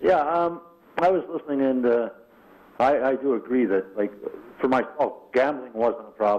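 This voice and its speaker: A Canadian-accented man at a medium pitch holds very even loudness and ordinary pitch variation, pausing long and often. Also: moderate pace. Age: 60s. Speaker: caller in recovery. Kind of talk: testimony. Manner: halting.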